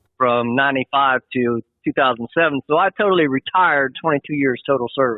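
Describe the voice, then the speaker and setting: A man speaks at a fairly quick pace in an unremarkable speaking voice, pitched fairly high. His pitch varies in an ordinary way, his loudness stays very even, and he hardly pauses. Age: 60s. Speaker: truck driver, military veteran. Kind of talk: interview. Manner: casual, rambling.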